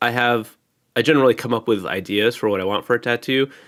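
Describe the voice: Heard on a very clean recording with a silent background, the voice is nasal and fairly bright, moving fast with ordinary pitch variation. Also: man, medium pitch for a man.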